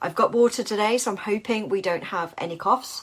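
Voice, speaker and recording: Background noise is noticeable throughout. The woman's pitch moves with ordinary variation. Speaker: business coach and podcast host. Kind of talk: solo podcast talk.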